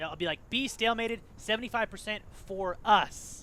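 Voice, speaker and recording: Loud and bright with a sharp tone, a man talks at a high pitch with fairly even intonation. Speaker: gaming team captain and tutorial host. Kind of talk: tutorial. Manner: casual, filler-heavy.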